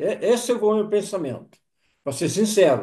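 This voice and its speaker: High male voice with a dark, mellow tone. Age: 70s. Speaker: testimonial giver. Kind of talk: testimony.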